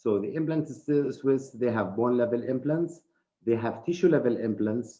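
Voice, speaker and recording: A man with a medium pitch talks at a moderate pace, using ordinary pitch variation. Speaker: dental surgeon and professor. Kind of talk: live webinar presentation. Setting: live online broadcast.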